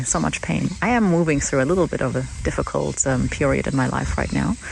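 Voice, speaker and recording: A German accent over noticeable background noise. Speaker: podcast host. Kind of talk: reflective personal monologue. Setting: outdoors in a paddock with horses. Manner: halting, many false starts.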